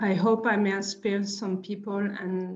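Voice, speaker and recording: A woman with a French accent speaks at a medium pitch, somewhat breathy. Her intonation is monotone and flat. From France, Marseille. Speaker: artist and printmaker. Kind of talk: lecture. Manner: halting.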